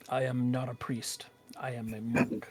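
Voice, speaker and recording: A man uses a put-on character voice. His pitch is medium. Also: moderate pace. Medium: actual play. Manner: courteous, formal.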